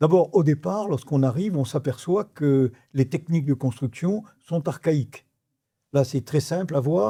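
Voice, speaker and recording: A man's fairly high, somewhat breathy voice with a dark, mellow tone, lively intonation and a fairly slow pace, in a very clean recording with a silent background. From Morocco (Rabat), French expatriate family. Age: 80s+. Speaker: real estate developer, entrepreneur. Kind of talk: interview answer.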